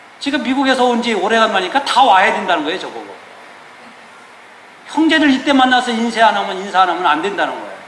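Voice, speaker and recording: A high-pitched man's very fast, lively speech with long, frequent pauses and noticeable background noise. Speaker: pastor. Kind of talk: sermon. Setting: church. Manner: casual, conversational.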